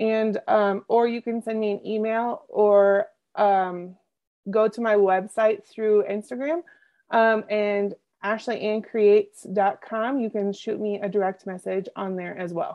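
Unhurried at a fairly slow pace, this is an unremarkable speaking voice. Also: woman, fairly high pitch for a woman, ordinary pitch variation. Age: 30s. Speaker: business coach. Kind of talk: interview.

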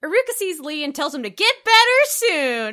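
Raising and projecting her voice, a woman speaks with a bright, sharp tone and lively intonation. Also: very clean recording, silent background. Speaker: podcast host. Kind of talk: casual chat.

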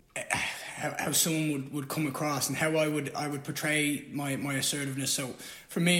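Talking at a fairly quick pace, a man with a fairly high voice is heard over noticeable background noise and audible room echo. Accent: Irish. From Ireland. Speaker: MMA fighter. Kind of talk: casual chat. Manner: halting.

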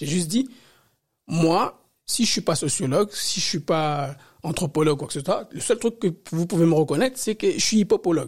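A man speaks at a moderate pace with a high pitch and lively intonation. The recording is very clean, with a silent background. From Paris. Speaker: hip-hop dancer and independent researcher. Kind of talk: interview. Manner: halting, many repetitions.

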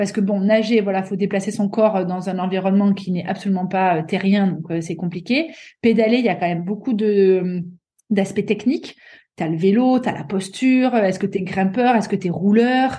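Speaking at a moderate pace with ordinary pitch variation, this somewhat breathy voice has a dark, mellow tone and a southern French accent. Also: woman, medium pitch for a woman. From southeastern France, Avignon. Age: 30s. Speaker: athlete and sports coach. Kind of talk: interview.

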